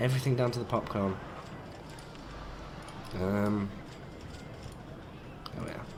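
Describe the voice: A croaky man speaks slowly, with ordinary pitch variation. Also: fairly low pitch for a man.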